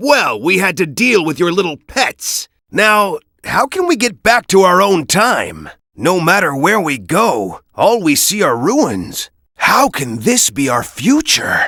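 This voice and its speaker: Someone does a cartoonish character voice at a middle pitch and a fairly slow pace. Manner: serious.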